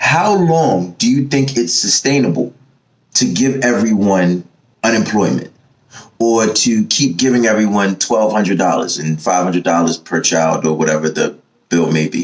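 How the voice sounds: In an American accent, a man speaks fairly slowly at a fairly low pitch with ordinary pitch variation.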